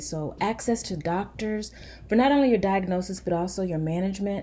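A dark, mellow tone, somewhat breathy. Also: woman. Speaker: pediatrician. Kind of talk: informative interview.

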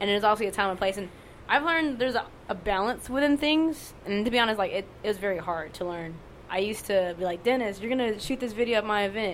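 A woman with an American accent talks at a very fast pace in a fairly high voice. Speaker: poet. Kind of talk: casual chat. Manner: monotone; casual, profane.

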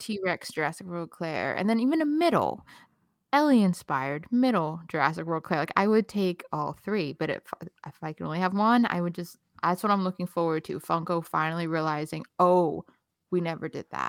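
A woman with a normal speaking voice and fairly low pitch talks at a moderate pace with ordinary pitch variation, in a very clean, dry, close recording with no echo and a silent background. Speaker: recurring podcast guest, fan site runner. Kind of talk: casual chat.

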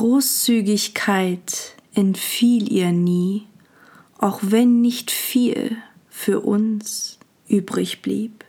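A woman speaks at a very slow pace in a warm, calm tone. Her voice is somewhat breathy, with a dark, mellow tone. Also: fairly high pitch for a woman. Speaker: podcast host and poet. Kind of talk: poetry reading, meditative. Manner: slow, calm, soothing, lyrical; warm, intimate.

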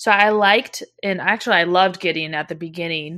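A woman has an ordinary speaking voice, medium in pitch with ordinary pitch variation. She talks at a moderate pace against a quiet background. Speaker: podcast host. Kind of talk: casual book review discussion. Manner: casual, chatty.

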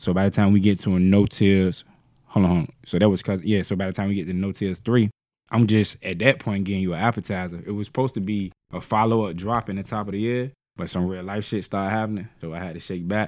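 Very fast, fairly low-pitched male speech with fairly even intonation, very clean recording and a silent background. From Norfolk, Virginia. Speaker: rapper. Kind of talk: casual chat.

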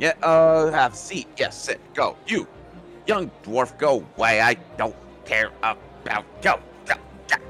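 A put-on character voice moves at a fairly slow pace with long, frequent pauses. Clear music plays in the background. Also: man, fairly high pitch for a man. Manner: dismissive.

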